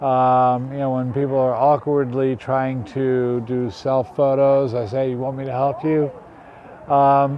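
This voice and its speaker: Against noticeable background noise, a man with a fairly high pitch talks with an American accent. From United States. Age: 60s. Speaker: retired street volunteer. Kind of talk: interview.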